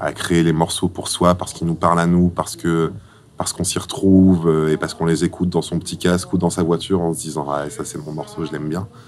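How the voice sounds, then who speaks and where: Over noticeable background noise, a man with a very deep, low voice talks very fast with fairly even intonation. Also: big swings in loudness. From Egypt, then Caen in France from age 13. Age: 20s. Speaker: singer-songwriter. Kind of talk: interview portrait, personal account. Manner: hesitant, frequent fillers.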